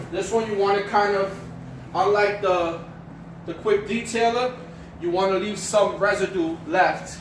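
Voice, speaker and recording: With a New York accent and a high pitch, a man speaks at a fairly slow pace with long, frequent pauses and fairly even intonation, amid light background noise and audible room echo. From New York City. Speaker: car detailing hobbyist; car detailing vlogger. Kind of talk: casual how-to talk to camera. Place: garage. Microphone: camera far.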